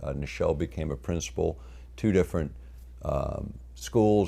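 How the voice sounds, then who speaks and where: A man speaks at a moderate speed, and audible room echo can be heard around him. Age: 60s. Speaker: lecturer. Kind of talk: lecture. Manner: unscripted, halting with fillers.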